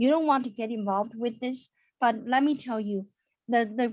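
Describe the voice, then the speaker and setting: A woman with a high pitch speaks with a non-native accent. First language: not English. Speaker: accountant. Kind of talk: webinar. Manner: animated.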